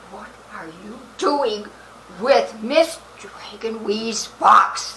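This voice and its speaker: Using a put-on character voice, a woman speaks at a very slow pace and a fairly high pitch against clear background noise. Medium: short film. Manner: sharp, probing.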